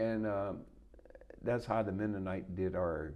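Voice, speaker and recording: A man talks at a moderate pace with fairly even intonation and a fairly low pitch. Audible room echo hangs around the recording. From south Louisiana, Houma community (Terrebonne area). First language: Louisiana French. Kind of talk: oral history interview. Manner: halting.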